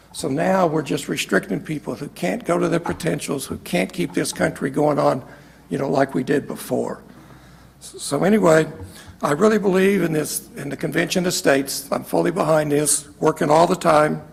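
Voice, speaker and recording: A man with an American accent speaks at a moderate pace and with lively intonation over noticeable background noise. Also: fairly high pitch for a man. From Kansas. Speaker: retired software executive giving testimony. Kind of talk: testimony. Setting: legislative committee hearing. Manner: halting.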